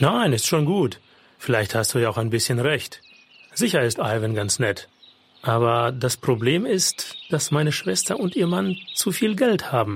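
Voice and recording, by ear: This is a man's put-on character voice at a medium pitch with a slightly husky edge. It moves at a fairly slow pace with big pitch swings.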